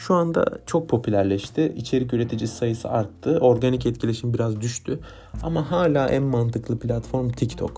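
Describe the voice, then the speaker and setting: A soft-spoken, somewhat breathy man at medium pitch, with a dark, mellow tone and a moderate pace. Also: ordinary pitch variation. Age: 20s. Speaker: podcast host and content creator. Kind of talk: improvised solo monologue. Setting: recording late at night. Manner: quiet, soft-spoken.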